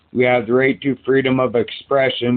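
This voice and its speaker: This man's voice sits at a medium pitch. He talks at a moderate pace. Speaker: psychiatric patient. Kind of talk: recorded doctor appointment. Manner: gets louder when passionate; halting, repeats words.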